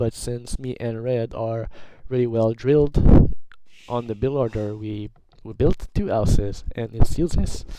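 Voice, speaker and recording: Amid noticeable background noise, a man talks at a moderate pace and medium pitch with fairly even intonation. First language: not English. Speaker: gaming commentator. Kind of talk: video game commentary. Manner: halting, many fillers and restarts. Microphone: poor quality microphone.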